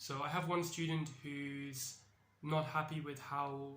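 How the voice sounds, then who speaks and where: The speaker is a man with a British accent. His fairly high voice stays fairly even in intonation. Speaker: English teacher. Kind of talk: casual educational talk to camera. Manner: friendly, conversational.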